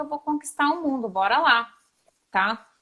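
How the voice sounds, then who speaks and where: A woman with a São Paulo accent speaks with ordinary pitch variation. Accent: São Paulo accent, noticeable. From Brazil, São Paulo. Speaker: psychologist. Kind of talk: live stream interview. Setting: online live video.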